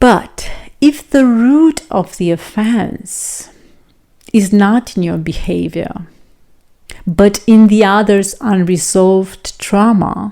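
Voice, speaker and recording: With a non-native accent, a woman speaks at a very slow pace and a medium pitch. Her tone is dark and mellow, with ordinary pitch variation. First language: non-native English speaker. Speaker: self-improvement and relationship vlogger. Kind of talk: reflective talk to camera.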